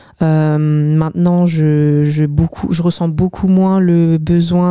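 A woman's dark, mellow voice at a fairly low pitch and a very slow pace, with dry, close sound and no echo. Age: 20s. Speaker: barista. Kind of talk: casual chat. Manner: hesitant.

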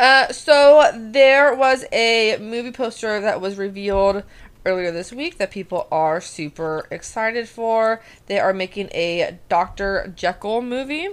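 An unremarkable speaking voice from a woman, fairly high-pitched and fairly slow, with lively intonation on a very clean recording with a silent background. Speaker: podcast co-host. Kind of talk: casual chat.

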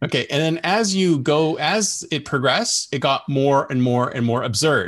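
A man's fairly high, plain, everyday voice with a Canadian accent and ordinary pitch variation. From Canada. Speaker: podcast host. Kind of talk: interview conversation. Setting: video call.

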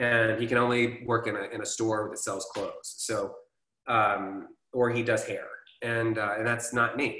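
Audible room echo carries speech delivered at a moderate pace. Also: man. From US South, Atlanta, Georgia. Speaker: actor, casting director and filmmaker. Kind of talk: casual interview.

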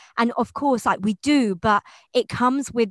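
A woman with a British accent speaks at a fairly high pitch with ordinary pitch variation. The background is quiet, and the sound is dry and close, with no echo. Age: 20s. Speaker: podcast host, yoga teacher. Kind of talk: casual interview. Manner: animated, warm.

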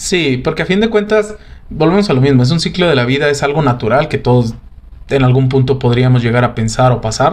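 A man speaks in an ordinary speaking voice, pitched fairly high. His intonation is lively, and his loudness stays very even. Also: fairly quick pace. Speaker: podcast host. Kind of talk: casual chat.

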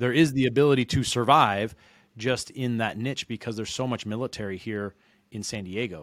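An unremarkable speaking voice from a man with an American accent, medium in pitch, at a fairly quick pace with ordinary pitch variation, in a very clean recording with a silent background. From Reno, Nevada. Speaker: mortgage loan originator. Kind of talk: interview.

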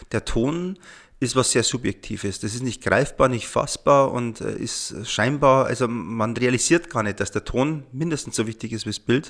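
A man in an ordinary speaking voice, medium-pitched, at a moderate pace with ordinary pitch variation. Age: 40s. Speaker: sound engineer. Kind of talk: casual chat.

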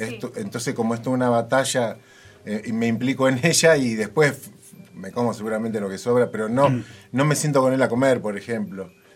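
Music plays behind a man who speaks at a fairly quick pace with ordinary pitch variation. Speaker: radio host. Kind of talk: radio talk show.

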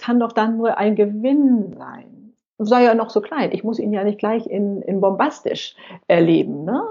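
Using a normal speaking voice, a woman talks fairly slowly at a fairly high pitch with ordinary pitch variation. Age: 60s. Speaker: senior blogger and YouTuber. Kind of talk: interview.

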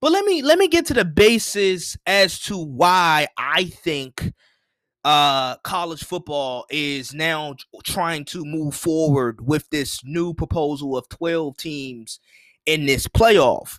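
The voice sounds animated, with ordinary pitch variation and big swings in loudness. The recording is very clean, with a silent background. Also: man, fairly high pitch for a man. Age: young. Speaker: sports podcast host. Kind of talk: solo sports commentary podcast. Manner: repetitive, animated.

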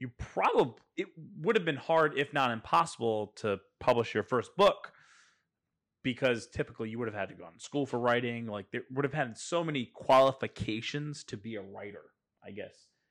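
This man has a plain, everyday voice, with ordinary pitch variation and big swings in loudness at a moderate pace. The recording is very clean, with a silent background. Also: medium pitch for a man. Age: 30s. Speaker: podcast host. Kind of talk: casual interview.

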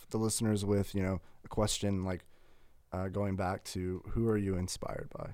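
With an American accent, a man speaks in an unremarkable speaking voice, at a fairly low pitch and with fairly even intonation. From US South, Huntsville, Alabama. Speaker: student journalist and church videographer. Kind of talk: casual chat.

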